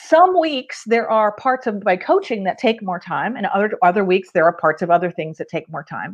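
An ordinary speaking voice with lively intonation, a moderate pace and hardly any pauses. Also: woman, medium pitch for a woman. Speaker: entrepreneur and fitness enthusiast. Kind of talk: casual interview chat.

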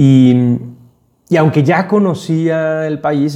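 Over a quiet background, a man speaks with fairly even intonation. His tone is dark and mellow. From Panama. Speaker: podcast host. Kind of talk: reflective monologue.

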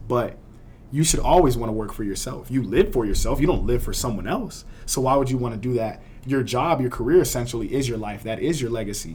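A man with an American accent, very fast pace, ordinary pitch variation and audible room echo. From Miami, Florida. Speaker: party promoter and university student. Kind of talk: casual interview chat.

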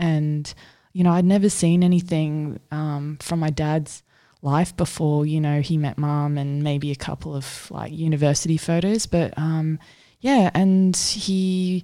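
A woman with an Australian accent and a very deep, low, dark, mellow voice speaks at a fairly slow pace with fairly even intonation on a very clean recording with a silent background. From Sydney, Australia. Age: 20s. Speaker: artist. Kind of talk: casual chat.

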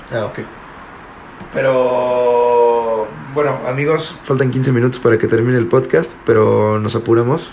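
At a medium pitch, a man speaks at a fairly slow pace with fairly even intonation. Audible room echo and noticeable background noise accompany him. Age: 20s. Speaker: podcast host. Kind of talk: casual chat.

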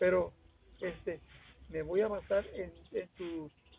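A man with a San Luis Potosí accent speaks in a high pitch. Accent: Mexican Spanish, San Luis Potosí. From Mexico, Mexquitic, San Luis Potosí. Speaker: retired social studies teacher. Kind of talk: interview, storytelling. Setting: at his home. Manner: halting, many repetitions.

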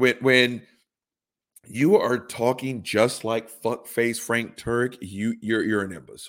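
A man with a plain, everyday voice talks at a fairly slow pace and medium pitch, his intonation fairly even but his loudness swinging widely. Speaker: podcast host. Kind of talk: casual profane comedic ranting. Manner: sarcastic, mocking.

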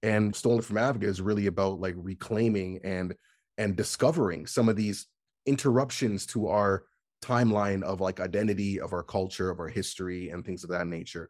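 A man with an unremarkable speaking voice and a Canadian accent, fairly low in pitch, with ordinary pitch variation and a fairly quick pace, on a very clean recording with a silent background. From Canada. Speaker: nonprofit founder and hip hop artist. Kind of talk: interview conversation.

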